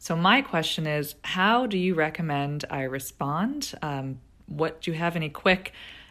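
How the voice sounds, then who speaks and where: A woman talks in an ordinary speaking voice at a fairly low pitch and a moderate pace, with ordinary pitch variation, in a very clean recording with a silent background. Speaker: listener asking question. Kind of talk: recorded question.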